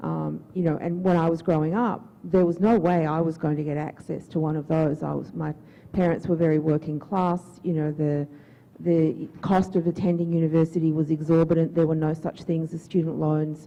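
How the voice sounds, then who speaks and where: With an Australian accent, a woman talks at a moderate pace in a very deep, low pitch, her tone dark and mellow and her intonation flat and monotone. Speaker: audience member, academic. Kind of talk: audience comment at a public forum Q&A.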